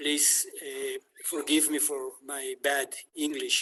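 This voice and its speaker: A man with a non-native accent, at a very slow pace. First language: not English. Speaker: city council member and activist. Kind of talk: online panel talk. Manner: halting, many hesitations.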